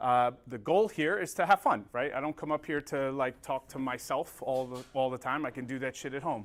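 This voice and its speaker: With an American accent, a man talks at a moderate pace and medium pitch, with ordinary pitch variation and hardly any pauses. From North Jersey, US. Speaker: combustion trainer. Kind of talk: technical training presentation. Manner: casual and profane.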